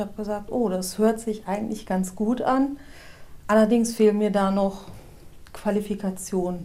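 A woman's fairly high voice at a moderate pace, an ordinary speaking voice. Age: 40s. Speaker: formerly long-term unemployed office worker. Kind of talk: interview.

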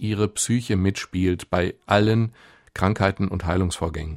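A man's fairly low, normal speaking voice at a moderate pace, with ordinary pitch variation and a very clean recording with a silent background. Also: dry, close sound with no echo. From Ruhr area, Germany (near Gelsenkirchen). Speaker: doctor and author. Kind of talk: radio interview.

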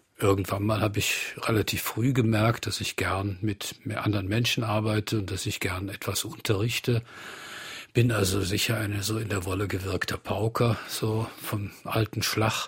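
Somewhat breathy, a man talks at a moderate pace and a fairly low pitch with monotone, flat intonation. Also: very clean recording, silent background. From Bonn, Rhineland, Germany. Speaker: art professor. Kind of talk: radio interview. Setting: studio.

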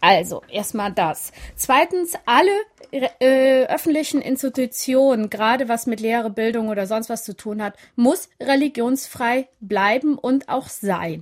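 A woman's high voice, lively in intonation, at a fairly slow pace. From Siegerland, Germany (arrived from the Balkans at age 7). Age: 30s. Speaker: author and women's rights activist. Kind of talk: radio interview. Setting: remote line from Berlin.

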